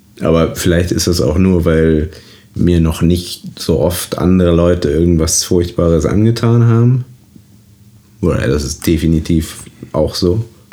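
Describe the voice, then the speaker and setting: Long, frequent pauses mark this fairly slow delivery with ordinary pitch variation, set against noticeable background noise. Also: man, very deep, low pitch for a man. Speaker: actor and podcast co-host. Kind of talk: casual chat.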